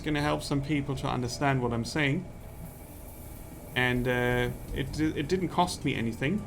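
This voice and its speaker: Audible room echo surrounds a man with a non-native accent speaking at a moderate pace, his fairly high pitch showing ordinary variation. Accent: nondescript non-native. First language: not English. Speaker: game streamer. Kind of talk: live gameplay commentary. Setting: live stream. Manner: careful, few shortcuts in pronunciation.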